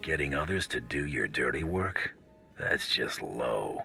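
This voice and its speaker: Over clear background noise, a man puts on a raspy character voice and speaks at a fairly slow pace. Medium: video game. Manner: dry, terse.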